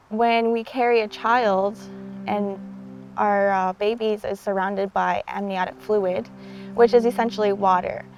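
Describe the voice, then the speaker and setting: Music plays in the background as a woman speaks at a fairly slow pace. Her intonation is monotone and flat. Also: medium pitch for a woman. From Six Nations reserve, Ontario, Canada. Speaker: water activist. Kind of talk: documentary interview. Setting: outdoors by a river.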